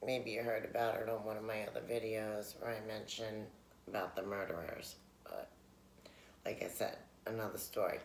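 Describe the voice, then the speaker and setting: A quiet man with an American accent at a moderate pace, long, frequent pauses and audible room echo. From New York City, Queens. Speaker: vlogger. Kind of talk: casual mukbang chat. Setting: at home, late night. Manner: talking low, quiet; rambling with many fillers.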